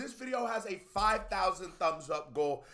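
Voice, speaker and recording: An animated man with a high pitch, very wide pitch swings and an American accent, over noticeable background noise. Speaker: YouTube music reactor. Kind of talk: casual reaction video commentary. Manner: fast.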